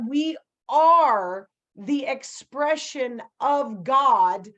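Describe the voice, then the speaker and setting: A woman speaks loudly in a high voice, her tone animated and her intonation lively. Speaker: spiritual coach. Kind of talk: energy activation session.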